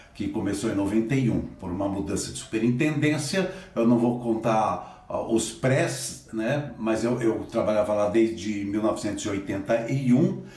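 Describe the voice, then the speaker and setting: There is audible room echo as a man speaks at a moderate pace. His pitch is medium and his intonation lively. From Assis, interior of São Paulo state, Brazil. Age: 60s. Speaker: theatre director and teacher. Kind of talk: interview.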